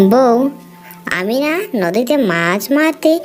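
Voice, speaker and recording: A woman puts on a cartoonish character voice at a high pitch. Faint music plays in the background. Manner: gentle, yielding.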